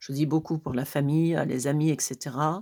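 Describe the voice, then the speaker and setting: In a very clean recording with a silent background, a woman speaks at a moderate pace in a very deep, low voice with a dark, mellow tone. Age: 60s. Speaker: tarot reader. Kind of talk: live tarot reading. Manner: hesitant, many fillers.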